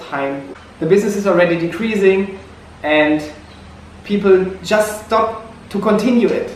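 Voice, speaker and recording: Someone with a German accent speaks at a moderate pace with ordinary pitch variation, amid noticeable background noise and audible room echo. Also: man. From Germany. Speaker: missionary vlogger. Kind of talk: personal vlog reflection. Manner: halting, repeats words.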